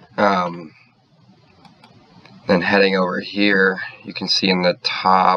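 Over noticeable background noise, a man speaks fairly slowly in a very deep, low voice. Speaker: engineering student. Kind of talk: software tutorial.

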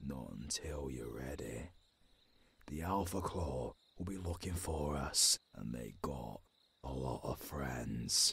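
A man in a put-on character voice, extremely low-pitched yet fairly bright, slow, with lively intonation and vocal fry

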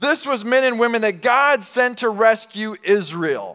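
Against a quiet background, a man with a bright, sharp tone talks at a very slow pace, his pitch varying in an ordinary way. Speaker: pastor. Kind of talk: sermon. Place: church. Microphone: headset.

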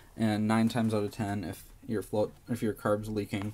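The speech moves at a moderate pace against light background noise. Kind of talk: tutorial. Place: home room. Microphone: phone near.

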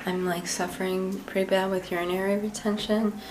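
A woman speaks in a monotone, flat intonation. Noticeable background noise can be heard. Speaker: chronic illness vlogger; vlogger. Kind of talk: casual vlog. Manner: hesitant, many fillers.

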